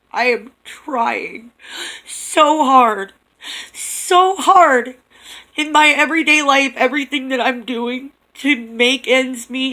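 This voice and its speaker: Speaking at a very slow pace in a raised, projected voice, a woman sounds bright and sharp at a high pitch, with ordinary pitch variation and big swings in loudness. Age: 30s. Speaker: vlogger. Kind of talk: personal vlog monologue. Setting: dim room at home.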